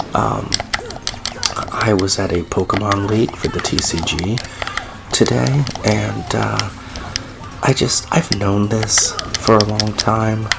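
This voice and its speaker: Whispering at a very slow pace, a man leaves long, frequent pauses over noticeable background noise. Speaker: gaming YouTuber. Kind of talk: let's play commentary. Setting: home recording at night. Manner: quiet, near whisper; hesitant, many fillers.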